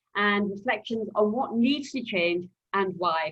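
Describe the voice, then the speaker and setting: A woman with a Yorkshire accent and ordinary pitch variation. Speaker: journalist, webinar chair. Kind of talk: webinar moderation.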